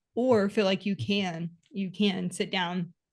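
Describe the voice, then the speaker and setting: A woman with an American accent speaks at medium pitch with ordinary pitch variation. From Texas. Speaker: podcast co-host, bookkeeping business coach. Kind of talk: casual podcast chat.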